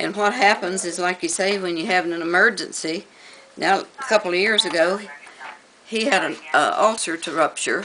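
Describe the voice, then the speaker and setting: With an American accent, the speaker goes at a moderate pace and ordinary pitch variation over noticeable background noise. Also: woman, medium pitch for a woman. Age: 70s. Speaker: elderly resident interviewed. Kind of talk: news interview.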